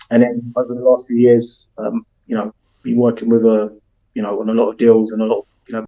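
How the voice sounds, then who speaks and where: A man speaks at a very fast pace in a dark, mellow tone. His intonation is monotone and flat, and the sound is dry and close with no echo. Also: medium pitch for a man. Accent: South London. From South London, England. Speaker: football agent. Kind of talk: podcast interview. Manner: frequent fillers, um.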